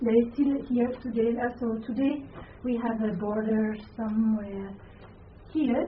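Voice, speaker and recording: A woman speaks with a non-native accent at a high pitch and a very slow pace, with ordinary pitch variation. Audible room echo surrounds her voice. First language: not English. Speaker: Buddhist nun and lecturer. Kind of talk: lecture. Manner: halting.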